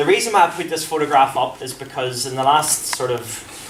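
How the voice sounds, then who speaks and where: With a strong Belfast accent, a man talks at a moderate pace over noticeable background noise and audible room echo. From Northern Ireland, Belfast. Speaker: former professional footballer, sports psychology speaker. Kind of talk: presentation to a coaching audience. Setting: room with live audience. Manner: animated, conversational.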